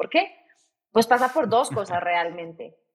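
There is an ordinary speaking voice here, keeping a moderate pace and showing ordinary pitch variation. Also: woman. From Colombia, Bogotá. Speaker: startup CEO. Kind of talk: interview.

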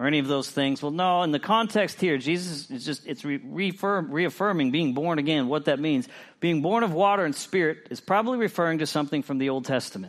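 Speaking fairly quickly, a man uses lively intonation and fairly high pitch. His is an ordinary speaking voice, with a quiet background. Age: 40s. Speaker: pastor. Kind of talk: sermon.

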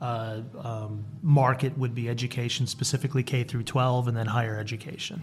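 The pace is fairly quick. The voice is somewhat breathy. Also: man, medium pitch for a man, fairly even intonation. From Rhode Island. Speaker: architect, firm vice president. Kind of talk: interview.

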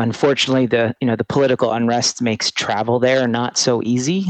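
A man with an American accent has a normal speaking voice at a medium pitch. He speaks fairly quickly, with fairly even intonation. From US Northeast, southern New Jersey. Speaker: amphibian pathologist. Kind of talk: interview.

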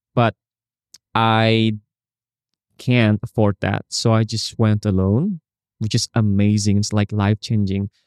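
A man's fairly low voice at a fairly slow pace, dry and close with no echo, in a very clean recording with a silent background. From Indonesia. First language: Indonesian. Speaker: travel photographer and social media creator. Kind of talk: casual interview chat. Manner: halting at times, searching for English words.

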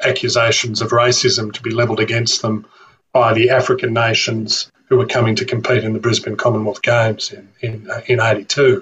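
This man speaks at medium pitch with an Australian accent. His pace is moderate and his intonation fairly even. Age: 50s. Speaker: author and historian. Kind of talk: interview.

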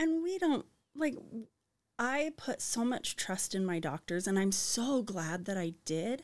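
A woman with an American accent, at a fairly slow pace, with very wide pitch swings. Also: fairly high pitch for a woman, very clean recording, silent background. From Arizona. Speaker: mother sharing birth story. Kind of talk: testimony.

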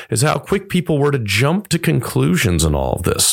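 Over a silent background in a very clean recording, a man talks at a moderate pace with very wide pitch swings. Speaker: pastor. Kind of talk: podcast commentary monologue. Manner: earnest, measured.

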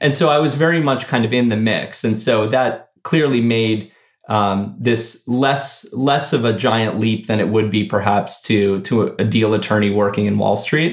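A man with a General American accent has an unremarkable speaking voice at medium pitch, with ordinary pitch variation. He keeps a moderate pace, hardly any pauses and very even loudness. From US, of Argentine parents. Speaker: startup founder and CEO. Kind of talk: interview.

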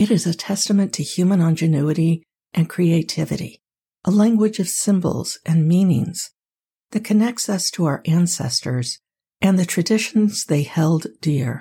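A dark, mellow, soothing and calm tone, somewhat breathy, with ordinary pitch variation. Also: woman, fairly low pitch for a woman. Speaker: sleep podcast host. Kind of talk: sleep-inducing scripted narration. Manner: soothing, calm, slow; gentle, soft-spoken.

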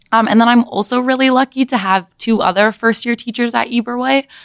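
A woman with a Midwestern American accent and ordinary pitch variation, in a dry, close sound with no echo. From US Midwest, Michigan (Ann Arbor). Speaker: elementary school teacher. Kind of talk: casual chat.

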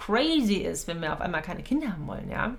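A woman speaks at medium pitch with audible room echo. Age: 30s. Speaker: podcast host and coach. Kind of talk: solo monologue podcast. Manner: casual, with frequent fillers and laughs.

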